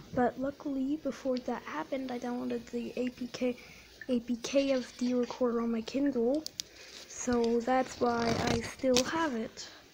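Noticeable background noise accompanies a high-pitched woman speaking at a moderate pace. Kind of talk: casual gameplay commentary.

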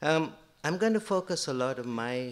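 A man with a plain, everyday voice talks at a moderate pace with ordinary pitch variation. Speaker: university professor, speaker. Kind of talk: conference lecture. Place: hall. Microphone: podium.

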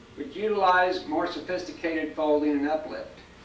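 Over light background noise and audible room echo, a man with a high pitch speaks at a moderate pace. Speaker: presenter. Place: office. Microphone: old recording.

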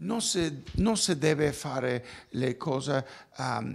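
In a Spanish accent, a man speaks at a very slow pace with lively intonation and vocal fry. The background is quiet. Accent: Spanish-accented Italian. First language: Spanish (speaking Italian). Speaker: architect. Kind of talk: interview. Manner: halting. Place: office. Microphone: handheld.

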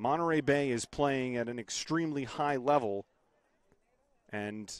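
A man's voice with ordinary pitch variation, dry with no echo, over a quiet background. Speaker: sports play-by-play broadcaster. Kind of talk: soccer play-by-play call.

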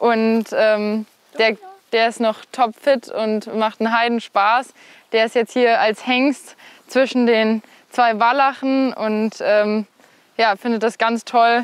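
At a very slow pace, the voice holds monotone, flat intonation in a dry sound with no echo. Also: woman, fairly high pitch for a woman. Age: 20s. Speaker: equestrian rider and student; host showing her family's horses. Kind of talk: interview. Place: farm. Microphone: lapel.

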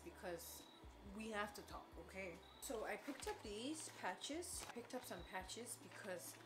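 There is music in the background. Over it, a woman talks at a moderate pace. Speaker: vlogger. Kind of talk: casual vlog chat. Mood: relaxed, chatty. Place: kitchen. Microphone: camera far.

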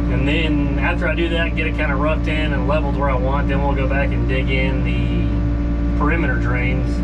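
Music can be heard behind the speaker. A man talks fairly quickly. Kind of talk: casual vlog chat. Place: farm machine. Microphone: phone near.

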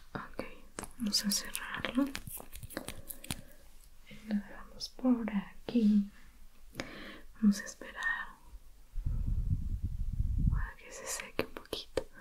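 Whispering and soft-spoken, a woman leaves long, frequent pauses, her loudness swinging widely over noticeable background noise. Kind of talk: soft roleplay talk to viewer. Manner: soft ASMR whisper, slow. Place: home room.

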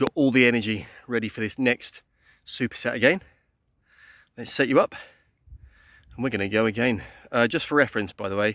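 Over a quiet background, a man talks at a fairly quick pace with a dry sound and no echo. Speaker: fitness instructor. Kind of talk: workout tutorial.

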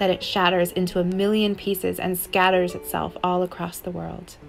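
A woman talks at a moderate pace. Music can be heard behind her. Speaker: spoken word poet. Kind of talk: spoken word poetry reading.

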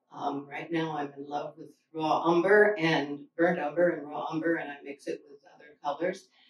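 A woman talks at a moderate pace with hardly any pauses and fairly even intonation, with audible room echo and light background noise. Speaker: painter. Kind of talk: casual artist talk. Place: hall.

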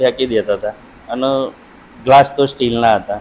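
A man talks in a monotone, flat intonation at a medium pitch, with noticeable background noise. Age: 40s. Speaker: villager interviewee. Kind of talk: interview.

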